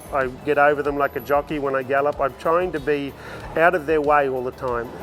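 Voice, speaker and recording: With an Australian accent, a man speaks fairly quickly at a fairly high pitch. His intonation is monotone and flat, and music plays in the background. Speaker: horse trainer and entertainer. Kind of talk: interview answer.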